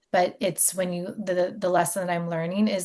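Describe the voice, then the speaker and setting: Speaking at a medium pitch with an American accent, a woman's voice shows vocal fry. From US Mid-Atlantic, Maryland near DC. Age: 40s. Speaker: podcast host. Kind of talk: interview, personal storytelling.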